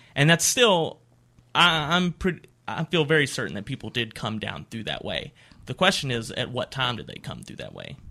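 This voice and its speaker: With an Appalachian accent, this voice has a bright, sharp tone and some vocal fry, moving at a moderate pace with lively intonation over a very clean recording and a silent background. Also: man, fairly high pitch for a man. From West Virginia (Appalachia). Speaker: archaeology graduate student. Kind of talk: interview. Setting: radio studio.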